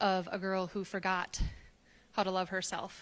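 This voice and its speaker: Soft-spoken, a woman with an American accent talks at a medium pitch. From US Midwest, Wisconsin. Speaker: storyteller. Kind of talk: personal storytelling on stage. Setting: stage with live audience.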